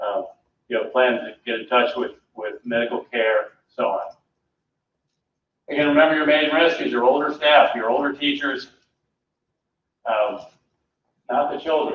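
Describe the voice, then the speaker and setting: Keeping a moderate pace, a man speaks with long, frequent pauses. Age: 60s. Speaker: public health director. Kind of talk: presentation to board. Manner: conversational.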